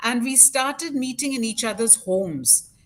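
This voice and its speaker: Over music in the background, a woman with a fairly high pitch talks at a fairly slow pace, her pitch swinging very widely. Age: 60s. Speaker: parent of a child with Down syndrome, organization founder. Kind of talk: interview. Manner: halting, many fillers.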